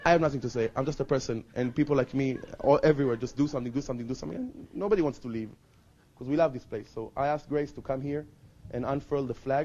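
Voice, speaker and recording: A man talks at a very fast pace with an Israeli accent. His tone is dark and mellow. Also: fairly high pitch for a man, ordinary pitch variation. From Israel, Jerusalem. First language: Hebrew. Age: 20s. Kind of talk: testimony. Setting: outdoors.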